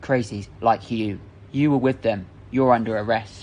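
A man growls in a put-on character voice with fairly even intonation. Clear background noise is present. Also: medium pitch for a man, moderate pace. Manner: growling, hostile.

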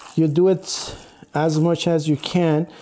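A man talks while some light noise sits in the background. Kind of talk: tutorial. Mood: calm, friendly. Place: kitchen. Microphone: lapel.

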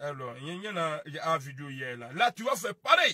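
A man's fairly high voice, bright and sharp with a slightly husky edge and big pitch swings. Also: dry, close sound with no echo.

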